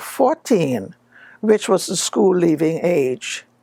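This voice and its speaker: A woman with a Bahamian accent and a dark, mellow tone speaks at a very slow pace. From Bahamas, Long Island. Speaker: public figure telling her life story. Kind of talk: personal life story talk.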